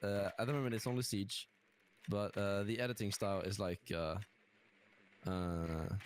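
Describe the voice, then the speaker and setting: The speaker is a man with a British accent. He keeps a moderate pace and ordinary pitch variation. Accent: English (British) accent learned from gaming. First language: Norwegian. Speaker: gaming content creator. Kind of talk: casual interview chat. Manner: hesitant, many fillers.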